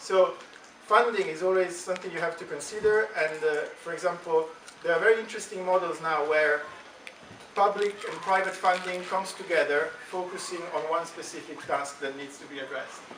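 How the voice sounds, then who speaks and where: A man with an Italian accent speaks in a high pitch with fairly even intonation and big swings in loudness, amid audible room echo and noticeable background noise. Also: fairly quick pace. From Italy. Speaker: stem cell scientist. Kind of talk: talk to school students. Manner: halting, many fillers.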